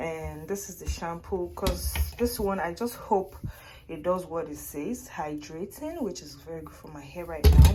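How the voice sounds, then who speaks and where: A woman talks at a moderate pace. Her recording carries audible room echo and noticeable background noise. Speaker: vlogger. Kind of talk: casual vlog. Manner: loud.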